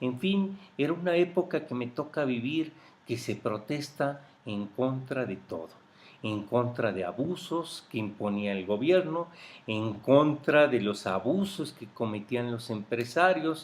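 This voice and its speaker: The speaker is a man with a medium pitch. He talks fairly slowly. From Mexico, Michoacán and Mexico City. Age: 50s. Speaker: interviewee recounting life history. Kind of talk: oral history interview. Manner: hesitant with fillers.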